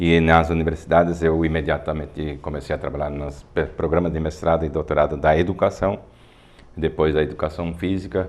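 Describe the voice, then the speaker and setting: Monotone, flat intonation from a man with a very deep, low pitch at a fairly quick pace. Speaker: physical education professor. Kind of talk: studio talk show discussion.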